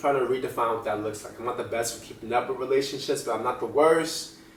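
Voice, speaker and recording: An American accent with audible room echo and noticeable background noise. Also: man. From New Jersey. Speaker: vlogger. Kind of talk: casual vlog monologue. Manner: varying pace, sometimes fast; casual, filler-heavy.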